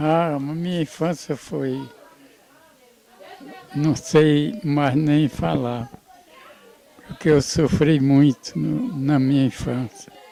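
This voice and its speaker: Amid crowd noise in the background, a man speaks very slowly with long, frequent pauses and ordinary pitch variation. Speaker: family patriarch, grandfather. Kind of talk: interview answer. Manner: hesitant, halting.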